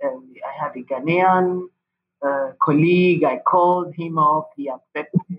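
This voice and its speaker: Speaking at a fairly slow pace, a woman talks with a Nigerian accent. Her pitch is fairly low. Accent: Nigerian (Yoruba) English. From Nigeria (Yoruba, Osun State). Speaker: pharmacist and public health NGO leader. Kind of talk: interview.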